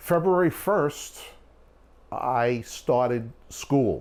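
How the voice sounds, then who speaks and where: Lively intonation with a Brooklyn accent. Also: man. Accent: New York (Brooklyn). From New York, Long Island (West Hempstead). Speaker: documentary filmmaker. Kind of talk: documentary interview storytelling.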